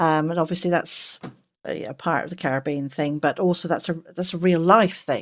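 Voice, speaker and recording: The speaker is a woman. She has an English accent. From England. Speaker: game forum moderator. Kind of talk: casual chat. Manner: halting.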